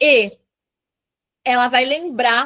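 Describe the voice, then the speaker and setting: This woman's voice sits high in pitch. It varies in an ordinary way. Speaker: aesthetics professional teaching a training class. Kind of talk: online training lecture.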